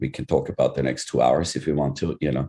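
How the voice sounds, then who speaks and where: A man talks at a very fast pace. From Europe. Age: 50s. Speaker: tattoo convention organizer. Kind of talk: panel discussion.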